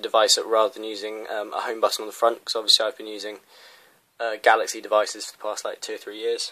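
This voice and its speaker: A man in a British accent at a very fast pace. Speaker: tech reviewer. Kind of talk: unboxing video. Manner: hesitant fillers.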